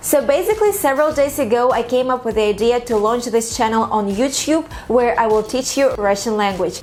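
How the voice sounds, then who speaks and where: Over noticeable background noise, a woman speaks at a moderate pace in a high pitch with ordinary pitch variation. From Russia. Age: 20s. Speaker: language teacher. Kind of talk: tutorial.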